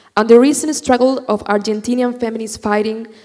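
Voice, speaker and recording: Against noticeable background noise, a woman with a Chilean accent talks at a fairly quick pace with fairly even intonation. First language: Spanish. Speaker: student activist. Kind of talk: prepared speech. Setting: stage with audience.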